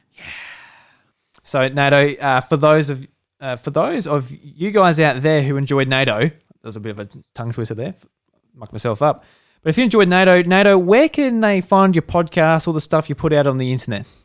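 With an Australian accent, a man talks at a fairly quick pace. His pitch sits fairly high. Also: lively intonation, big swings in loudness. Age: 20s. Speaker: podcast host. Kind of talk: casual chat.

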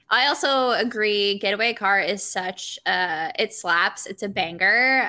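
A woman with a slight Southern US accent speaks very slowly at medium pitch, her tone bright and sharp. The recording is very clean, with a silent background. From South Carolina. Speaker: podcast guest. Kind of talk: casual chat.

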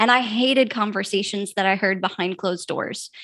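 A woman talks at a moderate pace in an animated tone with ordinary pitch variation. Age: 40s. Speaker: branding consultant and podcast host. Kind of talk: interview.

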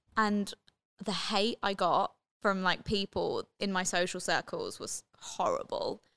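Speaking at a fairly slow pace in a London accent, a woman is heard with a dry, close sound with no echo. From London, England (Watford). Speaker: radio presenter. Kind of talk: casual chat. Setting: studio.

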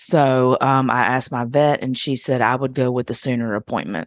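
Over a quiet background, a woman with a very deep, low pitch talks at a moderate pace with fairly even intonation. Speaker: podcast co-host. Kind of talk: casual chat.

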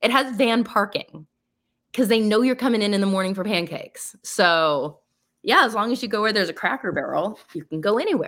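On a very clean recording with a silent background, a woman uses a normal speaking voice, fairly high in pitch, with lively intonation and a fairly quick pace. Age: 40s. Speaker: wedding photographer. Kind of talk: casual chat.

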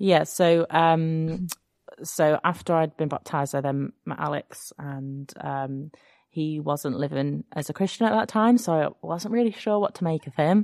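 A woman with an English accent speaks at a very deep, low pitch and a fairly slow pace with ordinary pitch variation, in a dry, close sound with no echo over a quiet background. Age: 30s. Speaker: secondary school music teacher. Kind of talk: testimony. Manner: hesitant, many fillers.

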